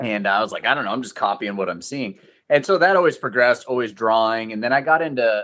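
A man speaks in a plain, everyday voice. He has a medium pitch and an American accent. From Central Oregon, US. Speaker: fine artist. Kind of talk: casual interview.

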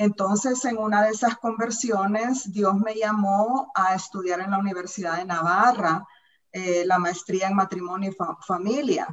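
At a fairly slow pace, a plain, everyday voice speaks with fairly even intonation. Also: woman, medium pitch for a woman. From Central America, war-torn country. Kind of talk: panel discussion. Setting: video call.

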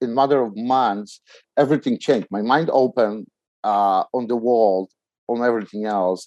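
A man speaks with a Polish accent at a medium pitch and moderate pace, his tone dark and mellow. The sound is dry and close, with no echo. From Poland. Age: 40s. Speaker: startup CEO in trucking. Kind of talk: casual interview. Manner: halting, hesitant with filler words.

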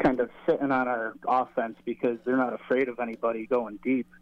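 Fairly quick speech from a man with an American accent and a medium-pitched voice. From New York. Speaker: caller, football fan. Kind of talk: call-in. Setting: phone call. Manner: halting.

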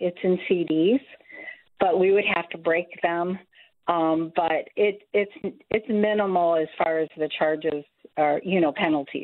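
With an American accent, a woman speaks at a fairly low pitch and a fairly slow pace, keeping her loudness very even and leaving long, frequent pauses. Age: 60s. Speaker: caller. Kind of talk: call-in question. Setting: phone call. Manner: halting.

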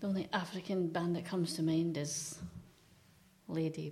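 In a Scottish accent, a woman with a fairly low, dark, mellow voice and vocal fry speaks at a moderate pace in a monotone, flat intonation. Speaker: quiz contestant, team captain. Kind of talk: casual banter in a quiz game. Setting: radio studio.

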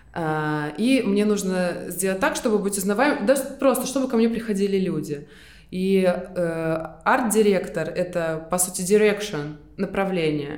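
A woman's medium-pitched voice, lively in intonation and fairly slow, with audible room echo. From Estonia. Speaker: graphic designer and fashion brand co-founder. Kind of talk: interview conversation.

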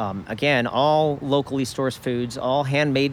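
This man has an ordinary speaking voice, pitched in the middle range and delivered at a moderate pace. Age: 50s. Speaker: restaurant owner. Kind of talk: casual chat.

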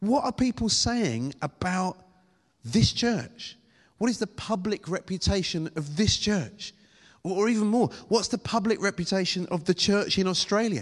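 Against a quiet background, a man with a British accent and a high pitch speaks in an animated tone with lively intonation. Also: moderate pace. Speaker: preacher. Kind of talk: sermon. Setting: church with congregation. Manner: animated, humorous.

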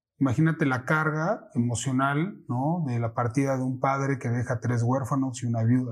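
A man talks with hardly any pauses. His voice is somewhat breathy. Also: medium pitch for a man, fairly even intonation, moderate pace. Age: 40s. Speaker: financial advisor. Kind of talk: casual interview.

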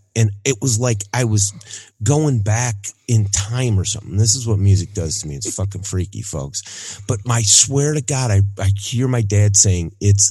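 A man speaks at a fairly slow pace in a fairly low, somewhat breathy voice with a dark, mellow tone and ordinary pitch variation. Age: 40s. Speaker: music podcast co-host. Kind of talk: casual chat.

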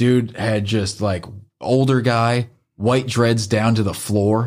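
A man with an American accent speaks at a medium pitch and a fairly slow pace, with fairly even intonation, in an ordinary speaking voice. The recording is very clean, with a silent background. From northern US. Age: 30s. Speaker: podcast guest. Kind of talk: casual chat.

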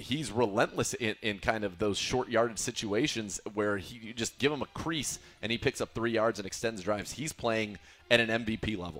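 The speech moves at a moderate pace with ordinary pitch variation while music plays in the background. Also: man, medium pitch for a man. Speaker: radio host. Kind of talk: casual sports talk.

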